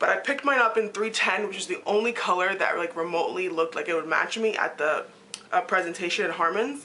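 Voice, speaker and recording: Over noticeable background noise, a woman speaks very fast, her pitch varying in an ordinary way. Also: medium pitch for a woman. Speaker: beauty vlogger. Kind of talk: casual talk to camera.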